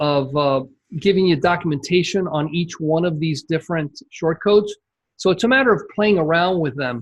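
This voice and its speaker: Against a quiet background, a man with a high voice talks at a moderate pace, his pitch varying in an ordinary way. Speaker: membership site coach. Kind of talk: screen-share tutorial on a coaching call.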